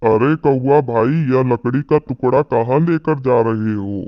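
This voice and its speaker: In a cartoonish character voice, a man talks at a fairly slow pace with a medium pitch. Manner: dismissive, headstrong.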